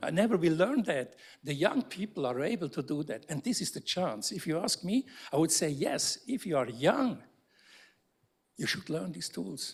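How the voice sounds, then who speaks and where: Lively intonation marks this man's ordinary speaking voice. His pitch sits fairly high. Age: 60s. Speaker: architecture professor. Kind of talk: panel discussion. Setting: lecture theatre with audience.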